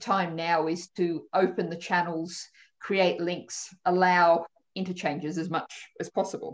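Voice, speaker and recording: Against a quiet background, a woman with an Australian accent talks at a fairly slow pace in a fairly low pitch, her intonation flat and monotone. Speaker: politician. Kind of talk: panel discussion. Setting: video call. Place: home room. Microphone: video call.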